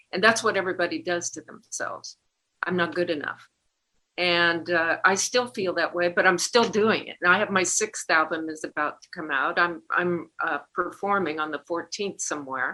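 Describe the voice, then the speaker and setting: A woman speaks at a moderate pace in a fairly low voice, her tone bright and sharp, with ordinary pitch variation. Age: 70s. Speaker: singer-songwriter. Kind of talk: interview. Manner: halting.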